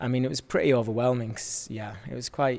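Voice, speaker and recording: A man talks. Noticeable background noise sits under his voice. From Yorkshire. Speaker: dancer. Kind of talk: casual chat.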